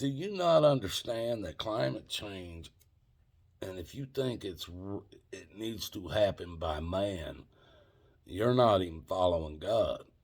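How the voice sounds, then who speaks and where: A man with a fairly low voice speaks at a fairly slow pace. His intonation is lively. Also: big swings in loudness. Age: 60s. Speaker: video blogger. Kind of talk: casual rant to camera. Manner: repetitive.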